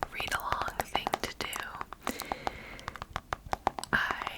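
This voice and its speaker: A woman whispers while noticeable background noise carries on. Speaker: ASMR creator. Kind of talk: casual whispered talk to camera with commentary. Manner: whispered, soft-spoken.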